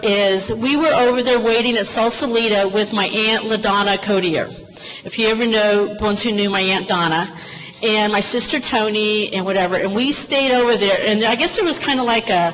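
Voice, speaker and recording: Speaking in an American accent, a woman has a fairly high pitch with ordinary variation, a moderate pace, and very even loudness. Audible room echo and noticeable background noise are present. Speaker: former police officer sharing family memories. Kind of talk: personal storytelling to an audience.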